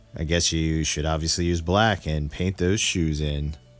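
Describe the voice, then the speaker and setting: A man speaks at a fairly slow pace in a very deep, low pitch. Music plays in the background. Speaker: custom toy maker. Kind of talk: tutorial narration. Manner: monotone.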